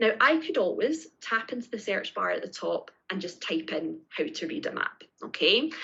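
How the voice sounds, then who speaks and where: This woman speaks with a Scottish accent. Her pace is moderate. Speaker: teacher trainer. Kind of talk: tutorial. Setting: live online session with screen sharing. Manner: clear, step-by-step.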